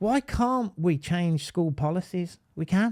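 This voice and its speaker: An animated tone with a Birmingham accent. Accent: Birmingham (Brummie). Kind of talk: live online talk.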